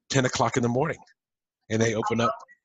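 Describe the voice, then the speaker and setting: A man talks at medium pitch with fairly even intonation. His is a plain, everyday voice. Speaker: entrepreneur coach and podcast host. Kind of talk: podcast interview host.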